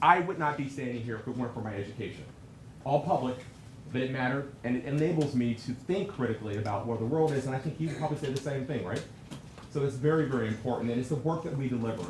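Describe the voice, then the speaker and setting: A man with a medium pitch speaks very fast, with ordinary pitch variation. The recording has noticeable background noise and audible room echo. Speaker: alumni association executive. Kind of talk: conference keynote address. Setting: stage with audience. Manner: loud.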